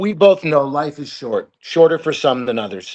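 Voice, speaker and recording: A man with a slight New Jersey accent speaks at a fairly high pitch with ordinary pitch variation. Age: 60s. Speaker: bowhunter and martial artist. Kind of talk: casual chat. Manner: articulate.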